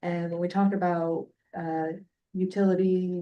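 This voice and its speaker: Soft-spoken and fairly slow, a woman talks in a dark, mellow tone with monotone, flat intonation. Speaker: utility company representative. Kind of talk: presentation at public meeting. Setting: hybrid meeting room. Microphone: weak microphone, too quiet.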